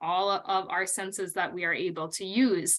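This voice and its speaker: With a North Dakota accent, a woman speaks in a bright, sharp tone. Her intonation is lively, and the background is quiet. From North Dakota, US. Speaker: college literature instructor. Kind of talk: recorded lecture. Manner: conversational with frequent um fillers.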